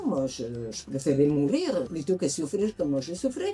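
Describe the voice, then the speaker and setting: Moderate pace and lively intonation over noticeable background noise. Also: woman. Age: 80s+. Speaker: patient giving a testimonial. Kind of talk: interview answer.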